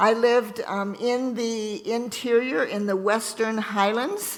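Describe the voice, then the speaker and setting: A woman talks at a very slow pace in a fairly high pitch with fairly even intonation. Noticeable background noise runs underneath. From Ontario, Canada. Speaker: missionary nurse. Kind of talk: church talk. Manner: halting.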